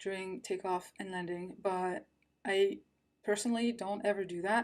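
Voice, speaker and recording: A woman speaks at a moderate pace with ordinary pitch variation, on a very clean recording with a silent background. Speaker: true crime youtuber. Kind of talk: casual monologue. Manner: subdued.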